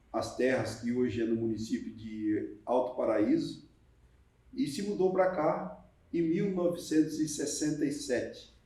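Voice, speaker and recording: A man's fairly slow speech carries audible room echo. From northern Paraná, Brazil. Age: 70s. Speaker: mayor. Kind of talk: documentary interview.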